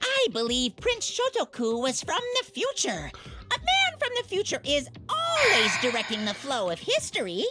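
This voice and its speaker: A high-pitched put-on character voice at a moderate pace with hardly any pauses. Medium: game stream. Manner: evasive, whiny when cornered.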